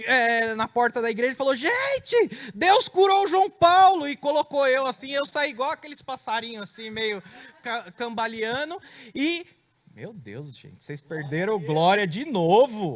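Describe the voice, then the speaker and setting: At a fairly slow pace, a man speaks in an extremely high pitch. His voice has very wide pitch swings and big swings in loudness. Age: 30s. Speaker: preacher giving testimony. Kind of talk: testimony.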